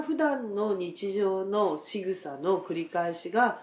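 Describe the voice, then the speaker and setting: A woman at a medium pitch, speaking at a very slow pace with very wide pitch swings. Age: 50s. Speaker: dentist. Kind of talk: casual chat.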